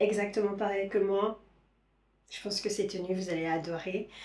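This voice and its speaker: A woman's medium-pitched voice at a moderate pace, with a monotone, flat intonation. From Caribbean, Saint-Martin, Haitian origin. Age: 30s. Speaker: lifestyle vlogger. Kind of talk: casual vlog talk to camera. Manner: hesitant, many fillers.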